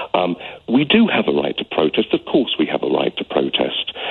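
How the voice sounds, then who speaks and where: Noticeable background noise sits behind this speaker with a British accent. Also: man. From UK. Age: 60s. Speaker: caller. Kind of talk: radio phone-in call. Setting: phone call. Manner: heartfelt; halting.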